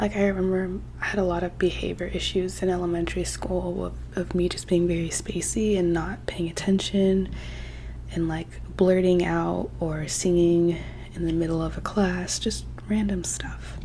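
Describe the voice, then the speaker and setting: Soft-spoken and relaxed in tone, the speaker moves at a moderate pace, with noticeable background noise behind. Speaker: ASMR creator. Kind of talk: casual soft-spoken life update to camera. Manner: soft-spoken, rambling, relaxed.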